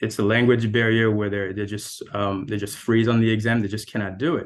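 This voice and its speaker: A man speaks fairly quickly in a Haitian accent. His pitch is fairly low, and his intonation is monotone and flat. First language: French. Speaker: architect. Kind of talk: panel discussion.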